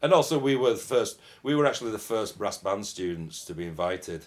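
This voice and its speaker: A man with a Yorkshire accent, at a fairly quick pace, with very wide pitch swings. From Yorkshire, northern England. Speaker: euphonium player. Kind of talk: interview. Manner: halting.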